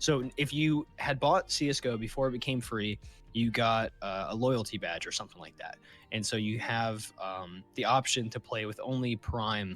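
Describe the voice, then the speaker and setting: Over music in the background, a man at medium pitch speaks at a moderate pace with ordinary pitch variation. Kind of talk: casual podcast conversation.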